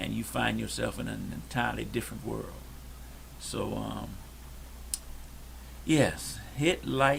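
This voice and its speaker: A soft-spoken man with an American accent talks at a fairly slow pace with long, frequent pauses. Audible room echo and noticeable background noise surround him. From Detroit, Michigan. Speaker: podcast co-host. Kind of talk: casual chat. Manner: quiet.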